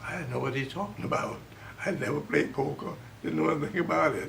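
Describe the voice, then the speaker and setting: A fairly quick-paced man's voice amid noticeable background noise. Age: 80s+. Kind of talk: interview answer. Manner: spry, spunky.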